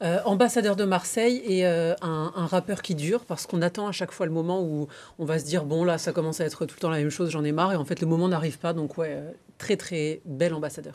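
A woman's unremarkable speaking voice, fairly low in pitch, at a fairly quick pace with ordinary pitch variation. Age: 30s. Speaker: TV presenter. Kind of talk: casual chat.

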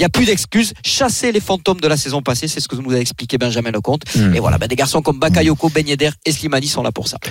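Over noticeable background noise, the speaker races along at a very fast pace with lively intonation and hardly any pauses. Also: man, fairly high pitch for a man. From France, Marseille. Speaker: regional sports correspondent. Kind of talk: sports report.

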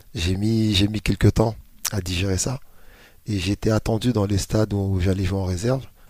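Very clean recording, silent background, and a man's dark, mellow tone at a fairly low pitch, moderate pace, fairly even intonation. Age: 40s. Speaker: youth football coach. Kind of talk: interview. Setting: club training ground.

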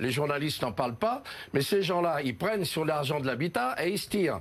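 A man with a fairly high voice whose pitch swings very widely. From Paris. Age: 70s. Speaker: mayoral candidate, fairground showman. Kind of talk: TV political interview. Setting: TV studio.

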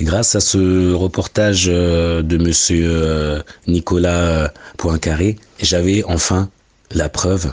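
A man's very deep, low voice in a dry, close sound with no echo. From Mali, raised in France. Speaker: adoptee giving testimony. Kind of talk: testimony.

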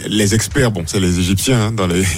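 A man's fairly low voice at a fairly quick pace, with ordinary pitch variation

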